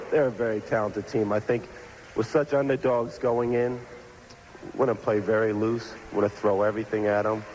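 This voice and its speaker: A man talks at a fairly quick pace in a medium pitch, with fairly even intonation and very even loudness. Long, frequent pauses break up his speech, and there is noticeable background noise. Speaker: professional football quarterback. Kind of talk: interview answer.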